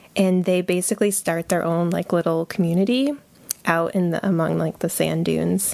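A woman's plain, everyday voice in an American accent, fairly low in pitch, moderate in pace, with ordinary pitch variation and very even loudness. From Connecticut, US. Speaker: librarian. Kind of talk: casual interview.

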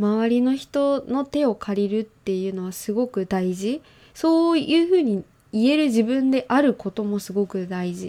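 A woman's dark, mellow tone at a moderate pace. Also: fairly high pitch for a woman, lively intonation, quiet background. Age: 20s. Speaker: podcast host. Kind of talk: casual chat. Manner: animated.

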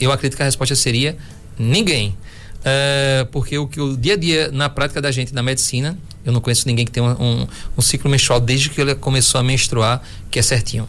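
An unremarkable speaking voice from a man at medium pitch, fairly quick, with very even loudness and fairly even intonation. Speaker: physician doing ultrasound. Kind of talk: radio health talk.

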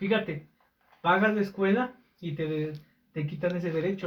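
The speaker has a Mexican accent. Pitch varies in an ordinary way. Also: man. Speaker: podcast co-host. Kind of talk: casual chat.

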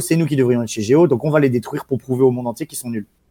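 On a very clean recording with a silent background, a man with a medium pitch speaks in a dark, mellow tone with lively intonation. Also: dry, close sound with no echo. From France, small town. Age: 30s. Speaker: esports team manager and entrepreneur. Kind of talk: casual interview. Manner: halting with many repetitions.

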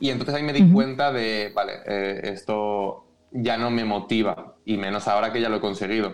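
A man at a medium pitch and a fairly quick pace. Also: ordinary pitch variation. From Spain, Valencia area. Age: 20s. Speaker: beatboxer, actor and singer. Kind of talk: interview.

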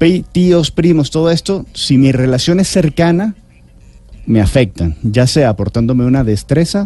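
Somewhat breathy and dark, mellow in tone, a man's voice moves fairly slowly through very wide pitch swings. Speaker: health author and speaker. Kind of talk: interview answering listener questions.

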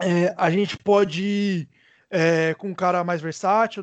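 A high-pitched man speaks with fairly even intonation. The sound is dry and close with no echo, over a quiet background. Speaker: basketball podcast co-host. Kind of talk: casual sports analysis chat.

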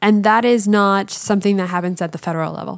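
This is a woman with a Canadian accent and an ordinary speaking voice. Her medium pitch shows ordinary pitch variation, on a very clean recording with a silent background. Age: 30s. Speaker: walking tour leader and writer. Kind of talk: casual chat.

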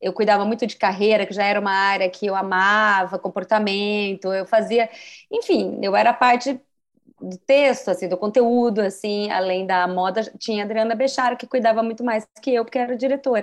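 An unremarkable speaking voice from a woman, medium in pitch, at a moderate pace with fairly even intonation against a quiet background. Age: 40s. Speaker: journalist and career coach. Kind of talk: casual interview.

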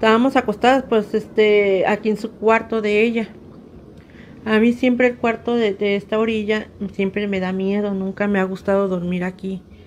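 At a moderate pace, a woman speaks at a fairly high pitch with monotone, flat intonation. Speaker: storyteller, relative of host. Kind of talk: recorded testimony.

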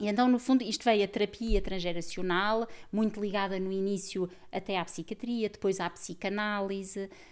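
With a normal speaking voice, a woman talks at a moderate pace and medium pitch, her intonation fairly even, in a very clean recording with a silent background. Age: 40s. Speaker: systemic therapist and author. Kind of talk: casual chat.

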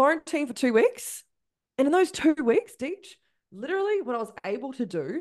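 Over a quiet background, a woman with a New Zealand accent talks at a moderate pace in an animated tone with very wide pitch swings. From New Zealand, Christchurch. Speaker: spiritual business coach. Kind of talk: casual interview chat.

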